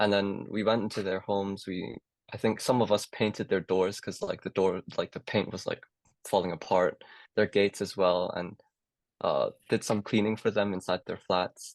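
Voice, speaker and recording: A man with a Cantonese accent, fairly low in pitch and monotone with flat intonation, at a moderate pace, with a dry, close sound, no echo, and a quiet background. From Hong Kong. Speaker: medical student. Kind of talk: casual chat. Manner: hesitant, many fillers.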